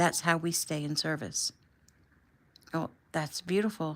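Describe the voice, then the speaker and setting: On a very clean recording with a silent background, a woman speaks at a moderate pace with a fairly low pitch and fairly even intonation. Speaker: author reading own book. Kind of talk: audiobook chapter reading. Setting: home recording. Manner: casual, relaxed.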